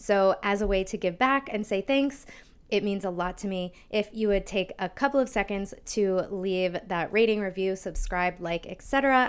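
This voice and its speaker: In an American accent, a woman talks at a medium pitch and a moderate pace, with ordinary pitch variation and hardly any pauses. The recording is very clean, with a silent background. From US Northeast (Long Island, New York). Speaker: health podcast host. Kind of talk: podcast interview intro.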